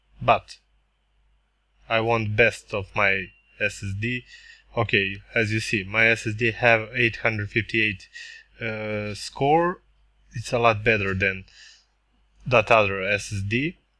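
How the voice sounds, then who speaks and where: A man with a non-native accent, fairly low pitch and a bright, sharp tone, at a fairly slow pace with fairly even intonation and long, frequent pauses. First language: not English. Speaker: tech reviewer. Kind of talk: product review tutorial. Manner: halting.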